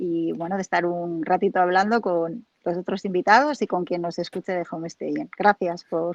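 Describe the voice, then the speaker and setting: With a Spanish accent, a woman speaks at a moderate pace and medium pitch with ordinary pitch variation. The sound is dry and close with no echo, over a quiet background. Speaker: home staging professional. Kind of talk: interview.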